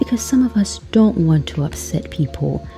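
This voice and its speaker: A woman speaks over music in the background. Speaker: English teacher. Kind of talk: podcast lesson. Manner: slow; clear.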